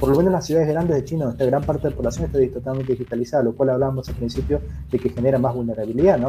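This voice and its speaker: The speech moves at a very fast pace with lively intonation. Vocal fry comes through. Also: man. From Argentina. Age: 30s. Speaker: cybersecurity expert. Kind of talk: interview.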